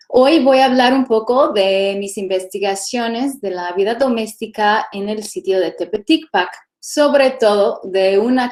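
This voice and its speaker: A woman speaks with an English accent at a fairly slow pace. Her pitch is fairly high and varies in an ordinary way. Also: hardly any pauses. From California, US. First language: English (speaking Spanish). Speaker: archaeologist. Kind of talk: lecture.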